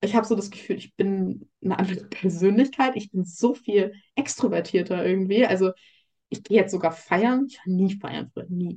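A woman's medium-pitched voice, dark and mellow and somewhat breathy, shows big swings in loudness. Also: ordinary pitch variation, moderate pace. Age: 20s. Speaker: coaching client sharing eating disorder recovery. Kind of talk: interview testimony.

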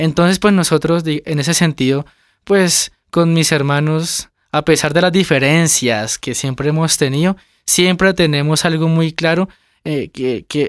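A man's fairly even intonation comes through a dry, close sound with no echo in a very clean recording with a silent background. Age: 20s. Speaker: family business manager. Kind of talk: interview. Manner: halting.

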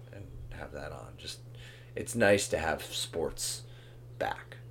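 A man speaks at a fairly slow pace. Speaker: soccer podcast co-host. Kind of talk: casual banter, sports discussion. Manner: conversational, hedging with filler.

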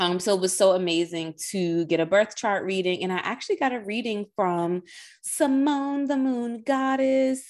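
Moderately paced female speech at medium pitch with lively intonation, in a very clean recording with a silent background. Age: 30s. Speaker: podcast host and energy healer. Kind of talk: casual monologue. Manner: animated.

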